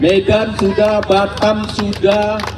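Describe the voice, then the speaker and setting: Here a man speaks with a high pitch. Noticeable background noise and audible room echo fill the recording. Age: 70s. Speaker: regional organizer of a civic movement. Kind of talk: speech at outdoor rally.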